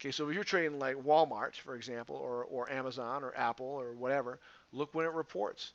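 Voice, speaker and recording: A man at a medium pitch and fairly quick pace, with fairly even intonation. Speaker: stock trading educator. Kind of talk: tutorial. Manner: fast; casual.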